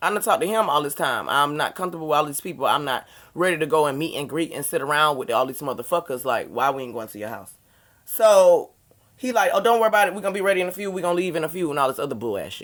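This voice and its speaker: Animated and very fast, a woman speaks with a very deep, low pitch and very wide pitch swings. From US South. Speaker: YouTuber. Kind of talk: storytime monologue.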